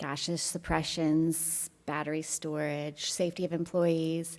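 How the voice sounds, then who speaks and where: A soft-spoken woman with a fairly low pitch. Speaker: local resident speaking at public comment. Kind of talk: public comment. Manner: halting.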